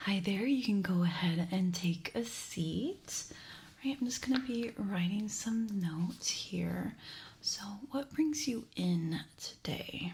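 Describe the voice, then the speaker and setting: Somewhat breathy and at medium pitch, a woman talks at a very slow pace with lively intonation. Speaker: ASMR content creator. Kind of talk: ASMR medical exam roleplay. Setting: studio, close microphone recording. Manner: whispered, soft-spoken.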